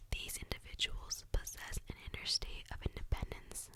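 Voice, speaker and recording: A woman whispers at a moderate pace. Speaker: ASMR creator. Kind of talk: ASMR whisper talk about zodiac signs. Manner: whispered, soft.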